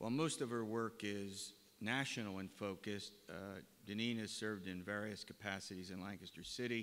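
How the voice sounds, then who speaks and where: A man's fairly low-pitched voice, fairly quick in pace, with fairly even intonation. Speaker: forum moderator. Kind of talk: moderating a panel. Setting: college gymnasium with audience. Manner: lecture voice. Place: hall. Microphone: podium.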